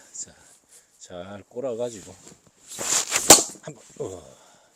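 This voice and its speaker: With noticeable background noise behind him, a man talks with a Busan accent. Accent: Gyeongsang (Busan) dialect. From Busan, South Korea. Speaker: farmer. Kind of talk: casual talk to camera. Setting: outdoors.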